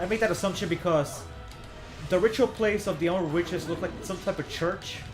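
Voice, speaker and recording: Over music in the background, a man speaks in a high pitch. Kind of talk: casual gameplay commentary. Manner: stuttering, hesitant.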